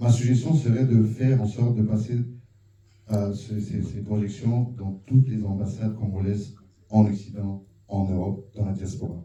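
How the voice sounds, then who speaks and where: This man's voice sits at a fairly low pitch and moves at a moderate pace. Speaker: audience member at film screening. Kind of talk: public question and comment. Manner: animated.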